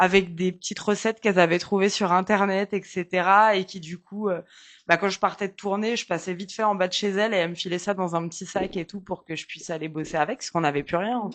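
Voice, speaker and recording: Over a quiet background, a woman with a medium pitch talks at a very fast pace, her intonation fairly even but her loudness swinging widely. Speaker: nurse and singer. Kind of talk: casual interview.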